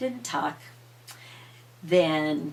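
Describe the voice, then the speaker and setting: At a very slow pace, a woman speaks over noticeable background noise. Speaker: grandmother storyteller. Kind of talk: bedtime story telling.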